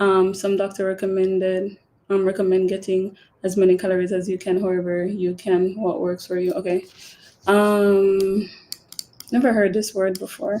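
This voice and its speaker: A woman speaks with a Jamaican accent at a medium pitch. Her intonation stays monotone and flat. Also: moderate pace. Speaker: podcast host. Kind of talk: live stream Q&A chat. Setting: live stream. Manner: casual, filler-heavy.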